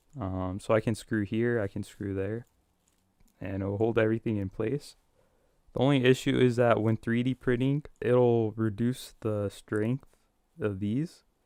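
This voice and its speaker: A man speaks at a fairly slow pace in a medium pitch. The sound is dry and close with no echo, and his intonation is fairly even. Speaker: maker live streamer. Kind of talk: live stream tutorial. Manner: casual, hesitant.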